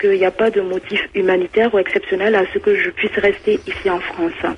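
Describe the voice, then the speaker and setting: A woman with a Toulouse accent talks at a fairly quick pace with hardly any pauses. Noticeable background noise sits behind her voice. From Mali. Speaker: nursing assistant. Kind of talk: phone-in testimony. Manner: halting.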